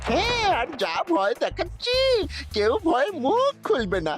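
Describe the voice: A cartoonish character voice moves at a moderate pace while clear music plays in the background.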